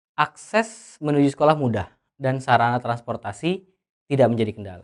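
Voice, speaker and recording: Against a quiet background, a man speaks at a fairly quick pace with a fairly high pitch. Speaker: tutor. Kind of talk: tutorial. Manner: loud; halting.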